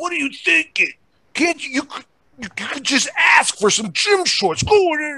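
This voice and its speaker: The speaker shouts in a high-pitched, put-on character voice. The pace is fairly slow. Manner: screaming, angry.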